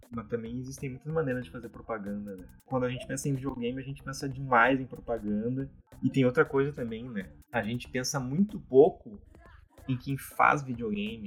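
Using a plain, everyday voice, a man speaks at medium pitch with big swings in loudness. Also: ordinary pitch variation, fairly quick pace. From Brazil, Porto Alegre. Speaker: indie game developer. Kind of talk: casual interview.

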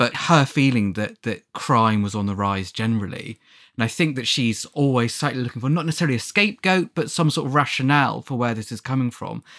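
At a very fast pace and with hardly any pauses, a man speaks with lively intonation on a very clean recording with a silent background. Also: medium pitch for a man. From England, Devon. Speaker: Christie historian and podcast co-host. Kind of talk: casual chat.

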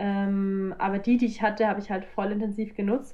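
A woman with an ordinary speaking voice, fairly high in pitch, at a fairly quick pace. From Bavaria, south of Munich. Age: 20s. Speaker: professional kitesurfer. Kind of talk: casual interview. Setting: video call.

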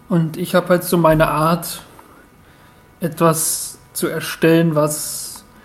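Amid noticeable background noise, a man talks at a very slow pace with long, frequent pauses. His high pitch stays monotone and flat. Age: 20s. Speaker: contestant in an online talent show. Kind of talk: self-introduction of a recorded entry.

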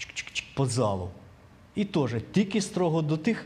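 A man's pitch swings very widely while noticeable background noise continues behind him. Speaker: church member. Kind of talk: comment in Bible study.

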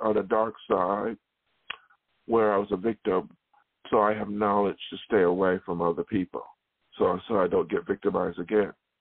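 His pitch sits fairly low. The man speaks at a moderate pace. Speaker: singer-songwriter. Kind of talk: personal monologue. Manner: halting; unusual speaking style.

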